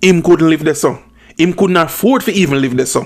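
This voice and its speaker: With a Jamaican accent, a man speaks at a fairly high pitch with ordinary pitch variation. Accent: Jamaican Patois-inflected English. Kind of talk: commentary talk to camera. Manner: blunt, opinionated.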